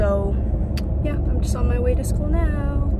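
Loud background noise surrounds a woman speaking at a fairly quick pace in a dry sound with no echo. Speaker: vlogger. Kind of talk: casual vlog chat. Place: car. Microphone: phone near.

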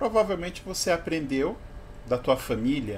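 Lively intonation marks this man's speech at a moderate pace. Light background noise can be heard. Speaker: vlogger. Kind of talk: opinion monologue vlog. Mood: provocative, mocking. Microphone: webcam.

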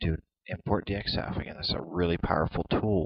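Somewhat breathy and very deep, a man's low-pitched voice holds a fairly even intonation. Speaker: software tutorial video maker. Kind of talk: tutorial. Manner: hesitant, many fillers.

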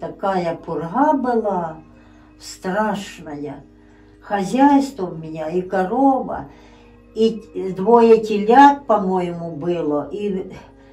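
A woman of medium pitch speaks at a very slow pace with long, frequent pauses, lively intonation and big swings in loudness. Faint music plays in the background. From Ukraine, Poltava region. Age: old. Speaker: grandmother telling her life story. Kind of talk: interview answer. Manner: casual, conversational. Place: home room. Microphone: phone near.

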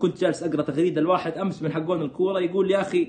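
A man speaks in a high, animated voice at a fairly quick pace over light background noise. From Saudi Arabia, Jeddah; Saudi Arabia. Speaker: political commentator. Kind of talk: live stream commentary. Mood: sarcastic, animated, critical. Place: home room. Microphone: phone near.

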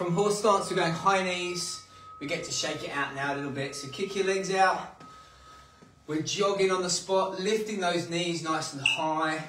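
Over background music and audible room echo, a man talks in a high voice with fairly even intonation. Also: moderate pace. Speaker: workout instructor. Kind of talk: workout instruction. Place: home room. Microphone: camera far.

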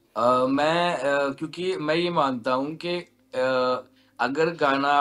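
The speech is very slow, with fairly even intonation. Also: man. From western Uttar Pradesh (Baghpat); Uttar Pradesh. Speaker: singer and music producer; interviewee. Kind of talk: interview. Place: studio. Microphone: video call.

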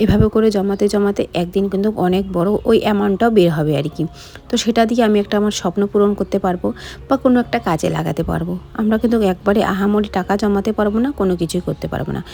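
A woman speaks in a medium pitch against noticeable background noise. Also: ordinary pitch variation. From West Bengal, Alipurduar. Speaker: vlogger. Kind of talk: daily vlog voiceover. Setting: at home. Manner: casual, chatty.

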